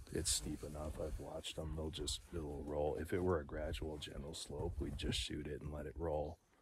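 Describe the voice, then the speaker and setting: A man speaks with a very deep, low pitch and vocal fry. Light background noise sits behind him. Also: dry sound with no echo. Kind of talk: casual vlog chat. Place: open country. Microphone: phone near.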